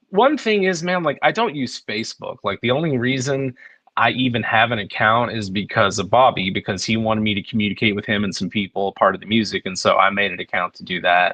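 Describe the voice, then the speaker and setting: A man's unremarkable speaking voice sits at medium pitch and moves with lively intonation. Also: fairly quick pace, hardly any pauses. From Texas. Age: 40s. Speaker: musician and producer. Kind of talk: podcast interview. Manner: casual, filler-heavy.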